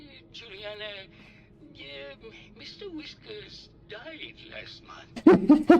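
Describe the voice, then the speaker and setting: A put-on character voice speaks at a high pitch and a very slow pace, with long, frequent pauses. Background noise is clearly audible. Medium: video game. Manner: exasperated, weary.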